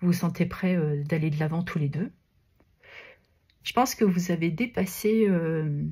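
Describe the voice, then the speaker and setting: A dark, mellow, somewhat breathy tone with ordinary pitch variation and long, frequent pauses. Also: woman, fairly low pitch for a woman, fairly slow pace. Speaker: tarot card reader. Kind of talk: tarot reading guidance. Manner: hesitant, many filler sounds.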